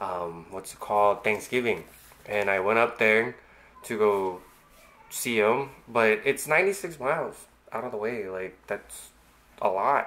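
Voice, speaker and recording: At a very slow pace with long, frequent pauses, a man speaks in a fairly low pitch with a bright, sharp tone and ordinary pitch variation. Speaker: vlogger. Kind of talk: casual vlog chat. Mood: relaxed storytelling. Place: home room. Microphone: webcam.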